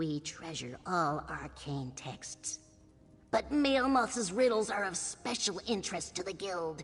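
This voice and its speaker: A put-on character voice at middle pitch moves along at a fairly slow pace. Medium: video game. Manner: stern, dry, disdainful.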